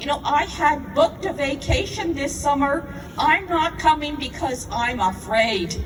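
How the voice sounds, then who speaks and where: Music plays in the background as a woman talks at a fairly slow pace. Her voice is high-pitched, with lively intonation. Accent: Canadian. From Toronto, Canada. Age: 60s. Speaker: protest speaker. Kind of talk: speech at a rally.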